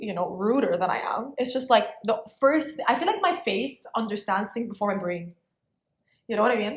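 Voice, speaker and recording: A woman with a fairly high, somewhat breathy voice speaks in an animated tone with lively intonation at a moderate pace. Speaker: podcast co-host. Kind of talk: casual chat.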